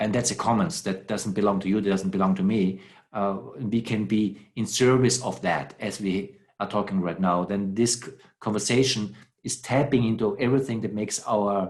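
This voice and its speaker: Speaking with a non-native accent, a man keeps a moderate pace and fairly even intonation. His pitch is fairly low. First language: not English. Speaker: philosopher. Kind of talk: conversation. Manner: halting.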